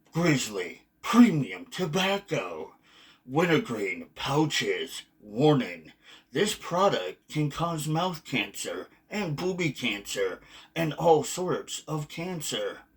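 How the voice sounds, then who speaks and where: Putting on a character voice, a man talks at a very slow pace with a high pitch. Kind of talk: dramatic announcing. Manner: mock-serious, comedic.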